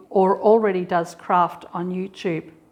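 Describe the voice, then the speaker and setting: A woman with an Australian accent, medium pitch and a fairly slow pace. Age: 60s. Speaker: sewing YouTuber. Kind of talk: casual chat. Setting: home sewing and dance room. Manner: relaxed, conversational.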